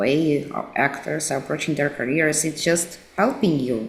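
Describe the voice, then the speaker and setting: A woman with a Russian accent and a very deep, low pitch speaks fairly slowly with ordinary pitch variation, and the room echo is audible. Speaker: actress and social media coach. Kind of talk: interview.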